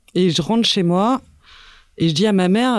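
The speaker uses lively intonation at a moderate pace in a very clean recording with a silent background. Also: woman. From France, Paris. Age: 30s. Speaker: sailing boat builder and technician. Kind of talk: interview. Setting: team office room.

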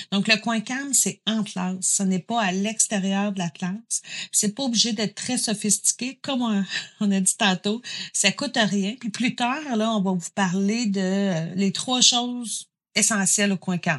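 An unremarkable speaking voice from a woman, medium in pitch, at a fairly slow pace, with dry, close sound and no echo. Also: ordinary pitch variation. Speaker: psychoeducator. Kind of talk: interview.

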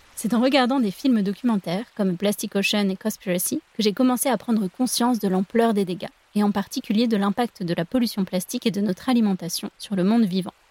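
A woman with a medium pitch and a dark, mellow, somewhat breathy tone talks at a fairly quick pace with hardly any pauses and ordinary pitch variation, in a dry, close sound with no echo. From France, La Rochelle (Atlantic coast). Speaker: podcast host. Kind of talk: scripted narration.

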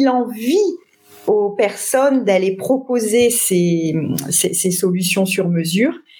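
A woman's lively intonation at a very slow pace. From northern France, Lille. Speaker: sales trainer. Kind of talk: interview.

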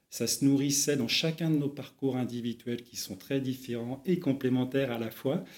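With a dark, mellow tone and medium pitch, a man speaks at a moderate pace. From Brittany, France. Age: 40s. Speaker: entrepreneur, startup co-founder. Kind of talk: interview. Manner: hesitant, many filler sounds.

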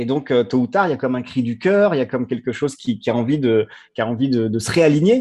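A man's dark, mellow voice at medium pitch, with ordinary pitch variation and a very fast pace. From France, of French-African heritage. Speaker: storyteller sharing life experience. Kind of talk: personal testimony. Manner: halting, many repetitions and fillers.

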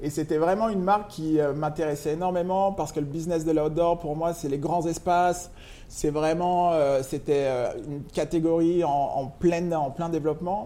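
A man with a dark, mellow tone and fairly high pitch speaks at a moderate pace, his intonation fairly even. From France, Lyon. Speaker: sneaker e-commerce founder. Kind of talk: casual interview. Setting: coffee shop. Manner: hesitant, many fillers.

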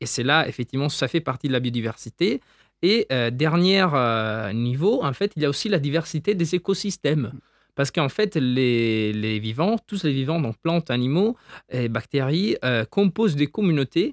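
With lively intonation, a plain, everyday voice keeps a moderate pace. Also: man, fairly high pitch for a man. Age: 20s. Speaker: doctoral researcher in insect ecology. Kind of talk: interview, popular science explanation.

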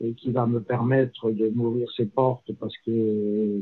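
A man of medium pitch speaks at a fairly slow pace with monotone, flat intonation. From southern France (Lozère). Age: 60s. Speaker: retired land surveyor. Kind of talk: interview.

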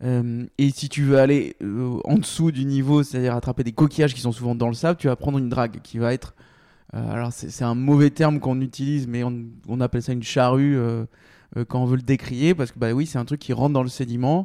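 A dark, mellow tone at a fairly quick pace with fairly even intonation, in a very clean recording with a silent background. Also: man, medium pitch for a man. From Bordeaux, France. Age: 30s. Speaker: seafood company founder. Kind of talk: interview. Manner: hesitant, many fillers.

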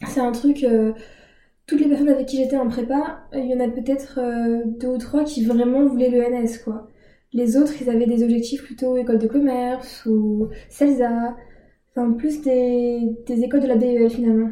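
A woman speaks at a moderate pace in a high, dark and mellow voice, her intonation monotone and flat, with audible room echo around her. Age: 20s. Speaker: student. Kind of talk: casual interview. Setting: in an apartment.

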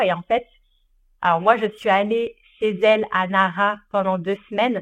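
A woman's medium-pitched voice over a quiet background. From France, Ardèche. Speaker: content creator. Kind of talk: interview. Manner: hesitant, many fillers.

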